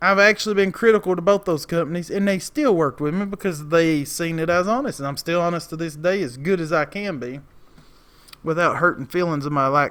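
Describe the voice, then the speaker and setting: Speaking with a strong Appalachian accent, a man has a high pitch and ordinary pitch variation. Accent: heavy Southern Appalachian, drawn-out vowels. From Appalachia, East Tennessee. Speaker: lawn care business owner and video creator. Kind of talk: casual vlog monologue. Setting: outdoors outside a store. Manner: rambling, talkative.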